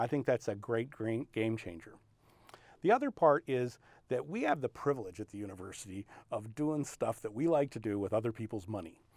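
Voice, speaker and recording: A man with an ordinary speaking voice talks at a fairly quick pace, medium pitch, and ordinary pitch variation. The recording is very clean with a silent background, the sound dry and close with no echo. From San Diego, California (Navy family, moved around). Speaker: analytical chemistry professor. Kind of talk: interview monologue about research.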